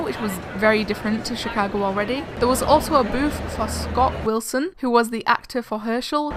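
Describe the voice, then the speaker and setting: A woman with an English accent speaks fairly quickly at a fairly high pitch. Her pitch varies in an ordinary way, and background noise is noticeable. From England. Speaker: vlogger. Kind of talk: scripted narration.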